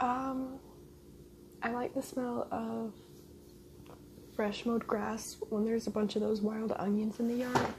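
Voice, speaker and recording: Soft-spoken and flat in a monotone, a woman with a fairly high pitch speaks fairly slowly with long, frequent pauses over noticeable background noise. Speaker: ASMR mukbang YouTuber. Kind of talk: casual talk to camera while eating.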